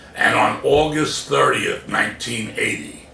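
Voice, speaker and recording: Noticeable background noise accompanies a man speaking fairly slowly with an American accent. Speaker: comedian and motivational speaker. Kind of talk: motivational speech, personal story told to camera.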